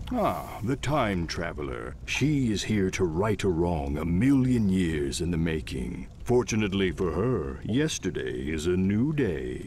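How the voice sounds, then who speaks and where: A man in a put-on character voice speaks fairly slowly with a very deep, low pitch and hardly any pauses, over clear background noise. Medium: video game. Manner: sultry, mysterious, dryly humorous.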